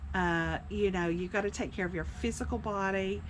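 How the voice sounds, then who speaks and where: There is audible room echo around the speaker, a woman. She talks at a moderate pace. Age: 60s. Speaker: senior living community vlogger. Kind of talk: personal testimony. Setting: outdoors on a cabin porch. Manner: casual, hesitant with fillers.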